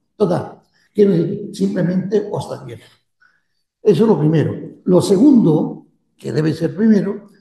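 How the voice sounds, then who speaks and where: With audible room echo around him, a man talks at a fairly slow pace, his pitch high with ordinary variation. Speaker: priest. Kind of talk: lecture. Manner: halting.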